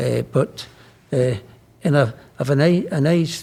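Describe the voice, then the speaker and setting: In a Scottish accent, a man speaks fairly slowly in a somewhat breathy, fairly high-pitched voice with ordinary pitch variation. His tone is dark and mellow, and his loudness is very even. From Scotland. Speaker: politician, Lord Speaker. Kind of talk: interview answer. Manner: casual, anecdotal.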